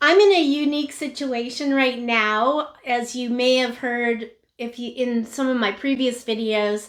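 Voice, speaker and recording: A woman with a high pitch talks at a fairly slow pace, leaving hardly any pauses. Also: ordinary pitch variation. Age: 70s. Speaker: lifestyle vlogger. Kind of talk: casual chat to camera.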